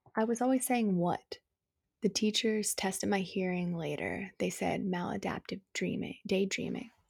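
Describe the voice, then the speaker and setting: At a moderate pace, a woman speaks with medium pitch and fairly even intonation, sounding somewhat breathy. The recording is very clean, with a silent background. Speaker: poet. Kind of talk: poetry reading, spoken word. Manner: raw, intimate, emotionally heavy.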